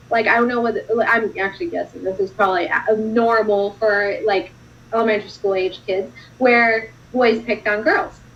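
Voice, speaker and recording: With a Russian accent, a woman speaks at a fairly high pitch and moderate pace, her pitch varying in an ordinary way. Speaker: non-profit founder. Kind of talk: interview on a live stream. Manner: casual, lots of filler words.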